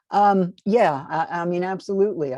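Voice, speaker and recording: A woman with an American accent has a dark, mellow tone. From US Northeast, Long Island, New York. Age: 80s+. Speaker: near-death experiencer and author, invited speaker. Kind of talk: casual chat during audience Q&A.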